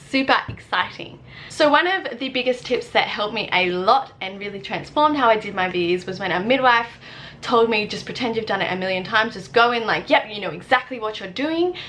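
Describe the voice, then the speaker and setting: Speaking at a fairly quick pace, a woman uses a fairly high pitch and lively intonation. Her loudness swings a lot, and background noise is noticeable. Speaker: student midwife. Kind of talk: tutorial. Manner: fast.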